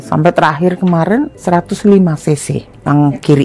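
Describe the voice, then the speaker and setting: A woman's fairly low voice comes through with noticeable background noise behind it. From Indonesia, Bogor (West Java). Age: 60s. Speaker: patient. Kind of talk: patient testimony. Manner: casual, conversational.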